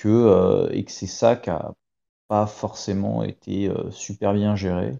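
Fairly even intonation runs through a man's fairly low-pitched speech. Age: 30s. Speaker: retired Olympic rower. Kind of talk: interview. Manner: hesitant, many fillers.

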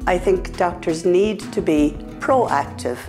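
Clear music can be heard behind the voice. The speaker is a woman. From Ireland. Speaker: patient advocate. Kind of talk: interview answer. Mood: calm, earnest. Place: office. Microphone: lapel.

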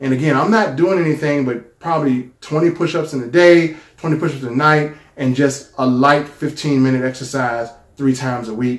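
At a moderate pace, a man uses a normal speaking voice, fairly high in pitch with ordinary pitch variation. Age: 40s. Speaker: YouTuber sharing a product testimonial. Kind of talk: personal testimony. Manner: casual, conversational.

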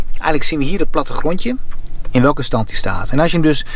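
A man talking at a fairly quick pace in a dry sound with no echo. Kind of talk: tutorial. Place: car. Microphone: phone near.

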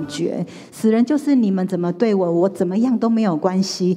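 Lively intonation colors a woman's speech. She moves along at a fairly quick pace. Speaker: pastor. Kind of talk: testimony. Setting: church. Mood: earnest personal testimony. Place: church. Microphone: handheld.

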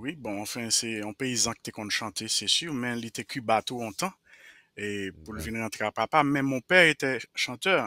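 A man with a Haitian accent, a bright, sharp tone and lively intonation, his loudness swinging widely, in a dry recording with no echo. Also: moderate pace, quiet background. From Haiti, Jérémie. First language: Haitian Creole (speaking French). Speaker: Haitian roots musician; interview guest. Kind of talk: interview. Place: home room. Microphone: headset.

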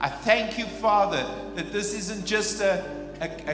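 The speaker talks at a fairly slow pace, with clear music playing in the background. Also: man. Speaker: pastor. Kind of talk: prayer. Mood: earnest, solemn. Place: church. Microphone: handheld.

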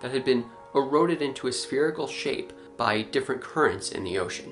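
A man talks at a moderate pace. Clear music plays behind him. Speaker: science channel host. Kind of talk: news review commentary. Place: home room.

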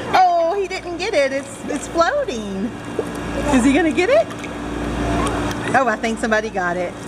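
Loud background noise runs throughout. The speech moves at a moderate pace. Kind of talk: casual instructions to a child. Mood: playful, encouraging, laughing. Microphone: phone near.

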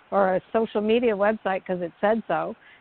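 Noticeable background noise sits under a woman speaking with fairly even intonation. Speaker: talk show co-host. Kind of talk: casual discussion.

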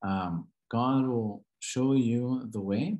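With an American accent and ordinary pitch variation, the speaker talks against a quiet background. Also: man. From Southern California. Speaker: Coptic Orthodox priest; guest. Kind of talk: lecture; presentation and interview answer. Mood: calm, earnest. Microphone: video call.

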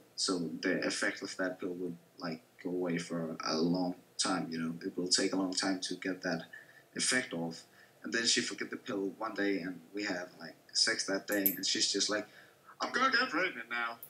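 Light background noise sits behind a man with a Danish accent. His pitch is very deep and low, and his pace is moderate. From Denmark. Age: 20s. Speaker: gamer; streamer. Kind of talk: casual chat. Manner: animated. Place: home room. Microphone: webcam.

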